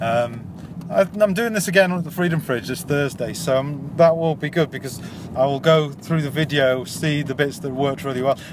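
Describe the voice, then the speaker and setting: There is noticeable background noise as a man with a fairly high pitch talks at a moderate pace. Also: ordinary pitch variation. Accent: Yorkshire. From Yorkshire, England. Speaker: amateur stand-up comedian. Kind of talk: casual video diary.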